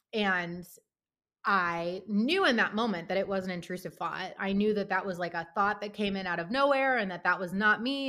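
A woman with an American accent, medium pitch and a bright, sharp tone, at a fairly quick pace with ordinary pitch variation, on a very clean recording with a silent background. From Pittsburgh, US. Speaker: therapist. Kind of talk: interview.

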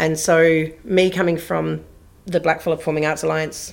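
Woman with an Australian accent, a fairly low pitch, vocal fry and a fairly quick pace. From southwest Western Australia (Bridgetown). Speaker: theatre artistic director. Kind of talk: interview conversation.

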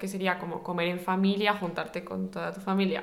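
The delivery has a monotone, flat intonation. Audible room echo is present. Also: woman. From Spain. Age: 20s. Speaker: podcast co-host. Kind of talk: casual chat.

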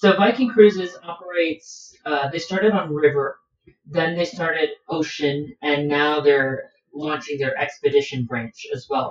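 A man with an American accent speaks fairly slowly in an ordinary speaking voice, fairly high in pitch with ordinary pitch variation. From Miami, Florida, US. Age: 20s. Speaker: cruise ship staff member and traveler. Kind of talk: casual chat.

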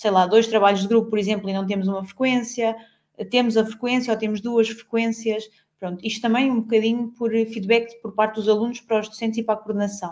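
Very fast and monotone, with flat intonation, a woman speaks at a fairly high pitch. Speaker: occupational therapy student. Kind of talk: casual chat.

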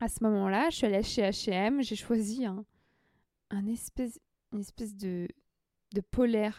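Very slow and dark, mellow in tone, a woman's fairly high voice shows ordinary pitch variation in a dry, close recording with no echo. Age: 20s. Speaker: journalist and adventurer. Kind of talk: personal storytelling.

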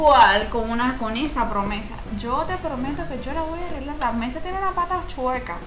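A woman talks at a moderate pace with a high pitch, lively intonation and hardly any pauses. Noticeable background noise and audible room echo come through. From Venezuela (Nirgua). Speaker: podcast guest. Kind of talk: casual chat.

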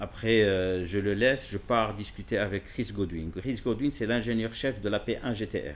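A man talks at a fairly slow pace, with hardly any pauses. His pitch is fairly low, with ordinary pitch variation. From Morocco, Casablanca. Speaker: car dealership director and magazine founder. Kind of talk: casual interview. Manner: halting, with many repetitions.

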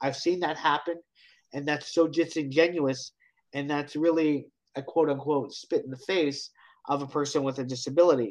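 Moving at a moderate pace, a man with an unremarkable speaking voice talks at a fairly high pitch with fairly even intonation. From Canada (Hamilton, Ontario). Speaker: accessibility speaker and consultant. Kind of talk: interview.

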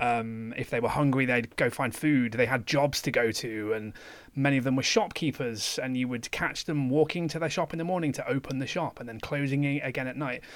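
With hardly any pauses, a man talks in an ordinary speaking voice at a medium pitch. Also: ordinary pitch variation, very clean recording, silent background. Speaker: podcast co-host. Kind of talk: casual chat.

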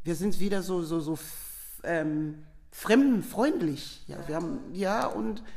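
A woman speaks with a Sierra Leonean accent. Her pitch is fairly low. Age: 50s. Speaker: nurse. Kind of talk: interview.

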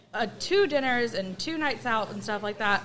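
A woman with an American accent, fairly high-pitched, at a fairly slow pace. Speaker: guest. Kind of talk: casual chat.

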